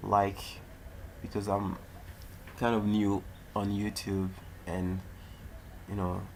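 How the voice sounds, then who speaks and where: With audible room echo, a man with a non-native accent speaks in a very deep, low voice with monotone, flat intonation. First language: not English. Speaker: tech YouTuber. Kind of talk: tutorial. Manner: halting.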